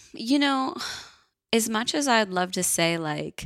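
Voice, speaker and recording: A woman speaks with an American accent at a fairly slow pace. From Northern California. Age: 40s. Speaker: wellness coach. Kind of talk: casual chat.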